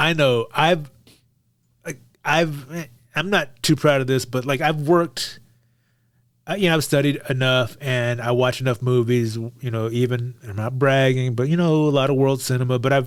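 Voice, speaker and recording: Speaking in an American accent, a man talks at a medium pitch. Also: ordinary pitch variation, moderate pace. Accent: reduced Texas accent, stronger around family. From Texas, Beaumont. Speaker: podcast co-host. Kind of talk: casual chat.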